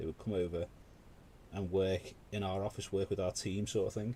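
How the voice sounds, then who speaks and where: A man speaks at a fairly quick pace with a dark, mellow, somewhat breathy tone. His pitch is fairly low and his intonation monotone and flat. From UK. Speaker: miniature painting live streamer. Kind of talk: casual chat while painting on a live stream. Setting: live stream.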